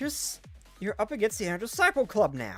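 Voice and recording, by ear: A put-on character voice, raspy, croaky and strained, pitched fairly high and delivered at a fairly quick pace, with faint music in the background.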